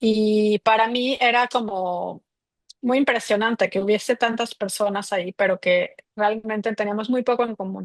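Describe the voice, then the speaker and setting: With a Mexico City accent, a woman speaks at a fairly slow pace and fairly high pitch, with fairly even intonation and a dry, close sound with no echo over a quiet background. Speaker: migration researcher. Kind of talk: interview.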